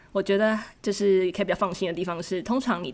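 Someone with a Taiwanese accent speaks at a fairly quick pace in a very clean recording over a silent background. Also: woman. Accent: Taiwanese Mandarin. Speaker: graduate student abroad. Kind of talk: casual interview.

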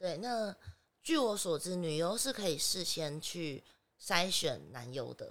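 Her intonation is lively. This woman speaks at a very slow pace. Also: fairly low pitch for a woman. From Taiwan. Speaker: adult film actress. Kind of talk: podcast interview.

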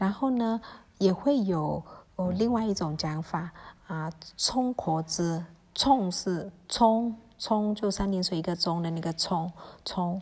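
A woman talks very slowly in a relaxed, somewhat breathy tone at medium pitch, with ordinary pitch variation and long, frequent pauses. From Myanmar, Kokang ethnic Chinese. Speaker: podcast host. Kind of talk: solo podcast talk on dialect words. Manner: hesitant, many fillers; casual, relaxed.

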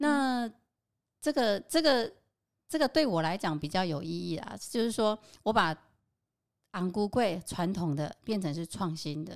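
Speaking at a fairly slow pace with long, frequent pauses, a woman with a medium pitch makes very wide pitch swings and big swings in loudness. The recording is very clean, with a silent background. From Taiwan, Qingshui (Taichung). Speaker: home cook and local food experience designer. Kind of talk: casual interview.

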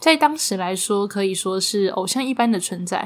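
A woman talks in a Taiwanese accent with ordinary pitch variation. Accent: Taiwanese Mandarin. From Taiwan, Taipei. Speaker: podcast host. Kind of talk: casual storytelling chat.

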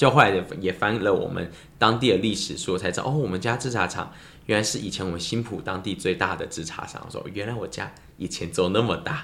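Speaking at a fairly quick pace, a man has an ordinary speaking voice, a fairly low pitch and ordinary pitch variation. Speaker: lemon tea business owner. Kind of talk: casual chat.

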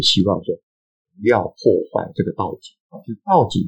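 Somewhat breathy in sound, a man talks at a fairly quick pace. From eastern Taiwan (Hualien). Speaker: anthropologist and author. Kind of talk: interview. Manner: halting, many filler sounds.

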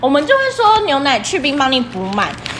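A loud, high-pitched woman's voice at a very fast pace over noticeable background noise. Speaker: podcast co-host, service worker. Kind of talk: casual chat. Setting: empty shop after hours.

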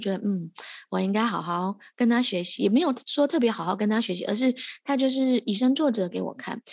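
A woman talks at a fairly quick pace in a plain, everyday voice. Her pitch sits fairly high. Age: 30s. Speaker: podcast host. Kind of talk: casual interview chat. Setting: postpartum care center, remote recording.

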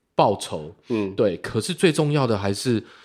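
On a very clean recording with a silent background, a normal speaking voice moves at a moderate pace with lively intonation. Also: man. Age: 30s. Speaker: illustrator and beatmaker. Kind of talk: casual chat.

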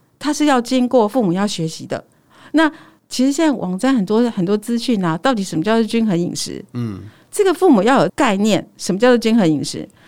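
Speaking at a fairly quick pace, a woman with a fairly high pitch makes very wide pitch swings. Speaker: nutritionist. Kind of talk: casual interview chat. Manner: smiling but firm.

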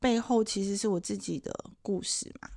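The recording is very clean and the background silent. A woman's tone is dark and mellow. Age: 50s. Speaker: sex therapist and author. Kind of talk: casual chat. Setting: bookstore, face-to-face recording.

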